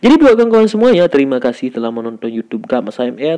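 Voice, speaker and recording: A man talks in an animated tone with very wide pitch swings. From Aceh, Indonesia. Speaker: gemstone polisher, YouTuber. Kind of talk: tutorial with commentary.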